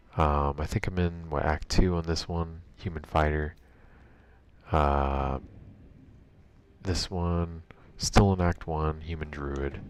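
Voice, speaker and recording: A soft-spoken man with a very deep, low pitch, fairly even intonation, a very slow pace and long, frequent pauses. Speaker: gaming streamer. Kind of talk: live gameplay stream commentary. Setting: home bedroom. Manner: casual with many fillers; soft-spoken, talking quieter.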